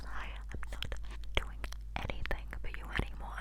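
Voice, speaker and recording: There is noticeable background noise. The speaker whispers. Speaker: ASMR creator. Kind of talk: made-up gossip storytelling. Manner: whispered.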